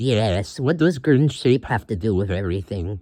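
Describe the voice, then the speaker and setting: A put-on character voice from a man, medium in pitch, at a moderate pace over a quiet background. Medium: machinima. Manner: talks about himself in third person.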